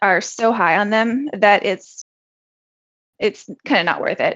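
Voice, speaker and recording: A woman with a plain, everyday voice and a fairly high pitch speaks at a fairly slow pace. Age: 40s. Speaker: entrepreneur and full-time trader. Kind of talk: casual interview.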